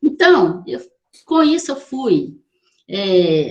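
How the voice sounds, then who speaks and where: A woman is speaking. Her pace is very slow. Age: 60s. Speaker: poet. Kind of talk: panel discussion. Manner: halting.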